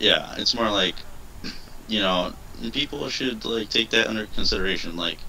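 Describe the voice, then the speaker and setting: A man's fairly low-pitched voice with long, frequent pauses, over noticeable background noise. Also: ordinary pitch variation, moderate pace. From Puerto Rico. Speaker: gaming channel host. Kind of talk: casual chat. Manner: hesitant, filler-heavy.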